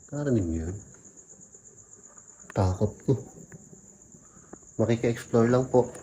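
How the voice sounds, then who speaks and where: Over noticeable background noise, a man speaks quietly at a medium pitch and moderate pace, with ordinary pitch variation and long, frequent pauses. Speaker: vlogger exploring a cemetery. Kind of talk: ghost-hunting vlog narration. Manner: quiet, hushed.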